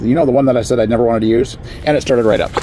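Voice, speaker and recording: Noticeable background noise sits behind a man who speaks very fast at a medium pitch, with ordinary pitch variation. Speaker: product reviewer. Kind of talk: product demo. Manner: halting.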